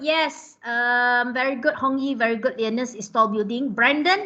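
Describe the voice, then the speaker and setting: A woman's raised, projected voice with a Malaysian accent, bright and sharp in tone, with ordinary pitch variation and a fairly slow pace. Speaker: lecturer. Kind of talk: online class lecture. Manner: conversational, many fillers (ah, lah, huh).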